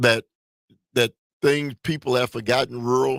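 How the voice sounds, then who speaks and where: A man talks in an American accent, the sound dry and close without any echo. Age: 60s. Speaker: radio host. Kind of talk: call-in talk show. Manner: halting.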